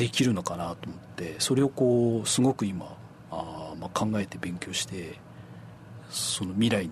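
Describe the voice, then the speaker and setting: Very wide pitch swings and big swings in loudness at a fairly slow pace, over noticeable background noise. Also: man, very deep, low pitch for a man. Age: 40s. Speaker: apple farmer, former hotel worker. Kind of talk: radio interview.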